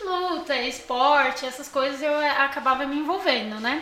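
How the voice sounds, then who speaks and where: Using a raised, projected voice, a woman speaks at a high pitch with audible room echo. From São Paulo, Morro Doce. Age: 20s. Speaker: podcast guest. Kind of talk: casual chat, personal testimony.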